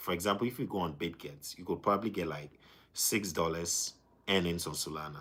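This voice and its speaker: Speaking at a fairly quick pace, a man with a very deep, low pitch uses ordinary pitch variation. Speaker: crypto livestreamer. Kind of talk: live stream chat. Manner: fast.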